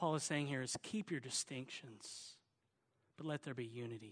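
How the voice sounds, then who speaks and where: A man speaks with a Southern US accent at a moderate pace and ordinary pitch variation. The sound is dry and close with no echo. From Oklahoma, US South. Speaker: pastor. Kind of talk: sermon. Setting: church.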